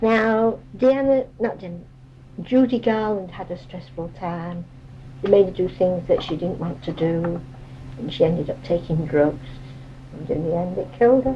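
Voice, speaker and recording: With noticeable background noise, a woman speaks at a moderate pace in a fairly low pitch, her voice making very wide pitch swings and big jumps in loudness. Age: 70s. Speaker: elderly interviewee. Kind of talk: casual chat.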